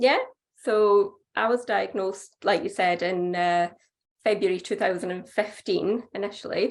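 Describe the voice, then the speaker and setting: A woman speaks at medium pitch. She has a Scottish accent. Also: ordinary pitch variation, fairly slow pace. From Scotland. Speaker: doctor and cancer patient. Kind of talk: personal testimony. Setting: video call.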